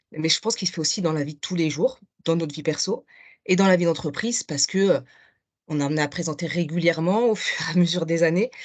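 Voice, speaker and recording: The speaker is a woman. Her pitch is fairly low. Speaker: participant. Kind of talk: comment in online masterclass. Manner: fast.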